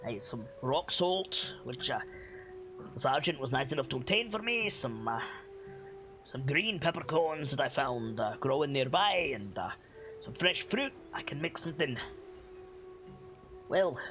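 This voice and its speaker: Putting on a character voice, a man speaks at a fairly high pitch and a moderate pace, with long, frequent pauses and clear music in the background. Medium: actual play. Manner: wry, rambling, weary.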